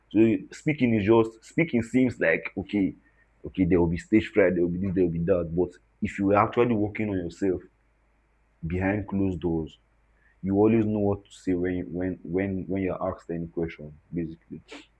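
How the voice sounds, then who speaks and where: Fairly quick and very deep, a man's low voice carries ordinary pitch variation. His loudness swings widely. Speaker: talking drummer and activist. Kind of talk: interview conversation. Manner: halting, repetitive.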